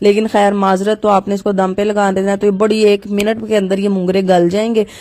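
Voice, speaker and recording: Her voice has a dark, mellow tone, and this woman speaks with monotone, flat intonation. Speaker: home cooking vlogger. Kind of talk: cooking tutorial vlog. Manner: casual, chatty.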